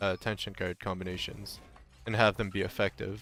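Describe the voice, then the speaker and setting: Music plays in the background. A man with a fairly low pitch speaks at a moderate pace. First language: French. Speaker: video game streamer. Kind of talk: live gameplay stream chat. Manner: casual, halting with repeated words.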